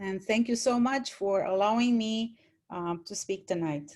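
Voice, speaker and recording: A woman with a Romanian accent and lively intonation. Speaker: retired college English teacher, panelist. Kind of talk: panel talk, personal story.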